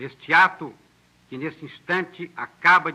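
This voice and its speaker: A man speaks in a solemn tone. His pitch variation is ordinary. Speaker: government minister of justice. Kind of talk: formal political address on national radio and television. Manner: solemn, measured, formal.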